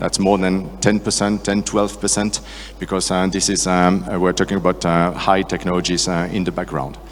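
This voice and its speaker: Over noticeable background noise, a man with a very deep, low pitch speaks at a moderate pace with fairly even intonation. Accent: French. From France. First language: French. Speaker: sales and marketing director. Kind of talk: conference talk. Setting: stage with audience. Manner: hesitant, many fillers.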